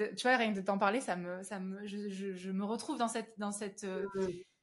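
A woman is speaking. Her pace is moderate. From southern France, Avignon. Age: 30s. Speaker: singer. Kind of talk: interview, personal testimony. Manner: halting, frequent repetitions.

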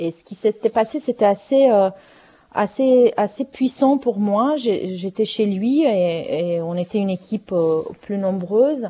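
A woman's dark, mellow voice at a fairly slow pace. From Romania. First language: Romanian (speaking French). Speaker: playwright and novelist. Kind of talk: interview. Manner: halting, many repetitions.

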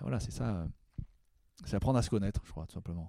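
On a very clean recording with a silent background, a man with a fairly low pitch and a dark, mellow tone speaks with lively intonation. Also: dry, close sound with no echo. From Paris suburbs, Val-d'Oise. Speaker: jazz trumpeter. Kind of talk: interview. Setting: studio. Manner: hesitant, repeats words.

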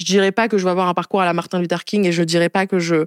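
Fairly quick and fairly low-pitched, a woman talks in an ordinary speaking voice. The sound is dry and close, without echo. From France, Spain, Madagascar, Niger (mixed childhood). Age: 20s. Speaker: activist and entrepreneur. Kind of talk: interview. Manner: casual, with many fillers.

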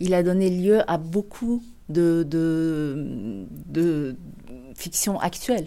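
Very clean, silent-background audio of a woman with a dark, mellow tone. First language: not French (speaking French). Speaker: novelist and screenwriter. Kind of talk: interview about favourite books. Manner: hesitant, many repetitions and fillers.

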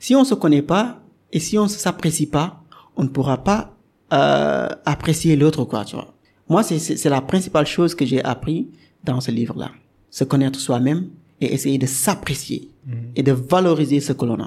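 Somewhat breathy and in a Senegalese accent, the voice moves at a fairly slow pace with ordinary pitch variation and long, frequent pauses. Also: man, fairly high pitch for a man. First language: Wolof (speaking French). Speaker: software developer and podcaster. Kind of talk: interview. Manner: hesitant, many fillers.

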